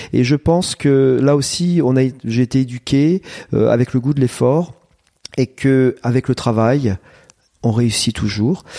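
Recorded with a dry, close sound with no echo, a man speaks very slowly at a medium pitch, his dark, mellow tone showing ordinary pitch variation. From France, Eure-et-Loir. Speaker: agricultural high school principal. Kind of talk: interview. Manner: hesitant, many fillers.

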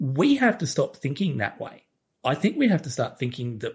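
In a very clean recording with a silent background, a man with an Australian accent talks at a moderate pace. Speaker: co-host. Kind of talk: casual chat.

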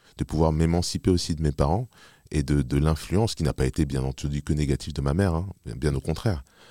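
A man speaks at a moderate pace in a very deep, low pitch with a dark, mellow tone and ordinary pitch variation. The recording is very clean with a silent background, and the sound is dry and close with no echo. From Paris region, France. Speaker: musician and producer. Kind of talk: interview. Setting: live event venue. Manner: halting, many fillers and repetitions.

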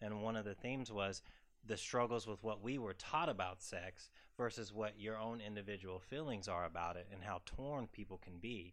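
With a Southern US accent, a man talks at a fairly low pitch with ordinary pitch variation. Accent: southern drawl. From US South, South Carolina. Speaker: psychiatrist. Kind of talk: expert commentary at live event. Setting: live event with audience.

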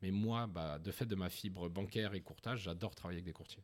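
In a normal speaking voice, a man talks at a fairly quick pace with ordinary pitch variation. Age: 30s. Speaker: founder of a new-build property brokerage. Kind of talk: interview.

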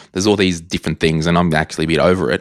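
A man with an Australian accent, captured in a very clean recording with a silent background. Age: 30s. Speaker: personal finance podcaster and author. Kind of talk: casual interview chat.

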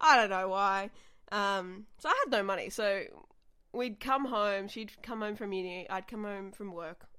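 A woman with an Australian accent speaks in a bright, sharp tone with ordinary pitch variation. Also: medium pitch for a woman, fairly slow pace, big swings in loudness. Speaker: comedian. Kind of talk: casual chat. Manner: animated.

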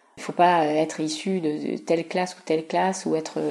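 The pace is fairly slow as a woman speaks. Noticeable background noise can be heard. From Paris region, France (Yvelines). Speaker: museum collections officer. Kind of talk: interview. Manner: hesitant, many fillers.

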